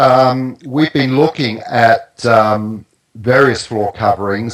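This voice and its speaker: A man with a New Zealand accent speaks at a very slow pace in a medium pitch, with ordinary pitch variation. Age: 60s. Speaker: naturopath and grounding product expert. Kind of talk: interview. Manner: halting.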